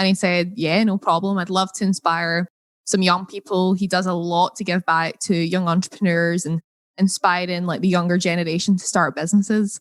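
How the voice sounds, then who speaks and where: A woman with a Scottish accent speaks at a moderate pace and medium pitch, her intonation flat and monotone, in a dry, close recording with no echo. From Scotland. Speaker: entrepreneur. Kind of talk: interview.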